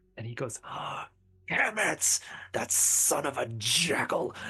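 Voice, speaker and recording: A put-on character voice at a fairly slow pace. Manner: evil, threatening, ranting.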